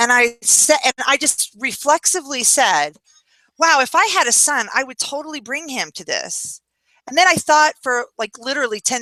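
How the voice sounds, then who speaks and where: Her voice is high-pitched, raised and projected, with a bright, sharp tone and lively intonation. The woman's loudness swings widely, and the sound is dry and close with no echo. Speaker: feminist commentator on a video chat show. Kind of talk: casual chat. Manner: animated; loud when arguing.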